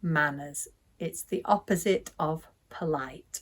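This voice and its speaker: This is a woman speaking. She has a British accent. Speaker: English teacher. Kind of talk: language lesson to camera. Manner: slow, clear.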